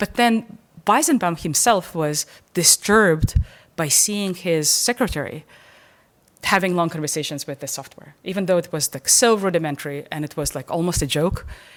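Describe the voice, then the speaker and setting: Her pitch fairly low and her intonation lively, a woman talks with a non-native accent. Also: moderate pace, very clean recording, silent background. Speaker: professor. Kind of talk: lecture. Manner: halting, many repetitions and fillers.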